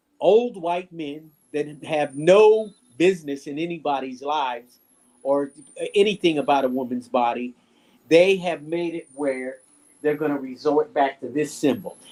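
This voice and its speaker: A man speaks at a fairly high pitch in a dark, mellow tone. His pace is fairly slow and his pitch varies in an ordinary way. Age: 70s. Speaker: artist and art instructor. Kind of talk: interview.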